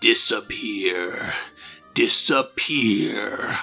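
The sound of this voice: Faint music plays in the background as a man speaks in a put-on character voice.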